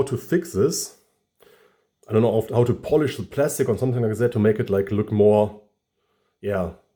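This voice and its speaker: With a German accent and a dark, mellow, somewhat breathy tone, a man speaks at a fairly quick pace with ordinary pitch variation and long, frequent pauses, on a very clean recording with a silent background. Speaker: toy collector YouTuber. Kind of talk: product review. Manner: halting, many fillers.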